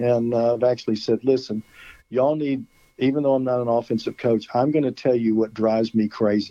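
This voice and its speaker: A man with an American accent has an unremarkable speaking voice at a medium pitch with fairly even intonation. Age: 60s. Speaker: high school football coach. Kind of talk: phone interview. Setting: phone call.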